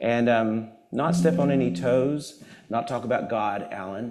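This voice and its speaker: A man speaks in an animated tone with lively intonation. Audible room echo and noticeable background noise are present. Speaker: guest speaker at a church service. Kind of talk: sermon-style talk with humor. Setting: church with live audience and Zoom. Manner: loud.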